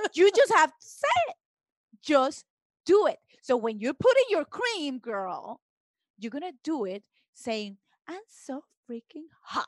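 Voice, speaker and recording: A woman with a Spanish accent speaks at a high pitch with very wide pitch swings. Her fairly slow delivery has long, frequent pauses, in a dry, close sound with no echo. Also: big swings in loudness. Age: 30s. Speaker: guest. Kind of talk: casual chat.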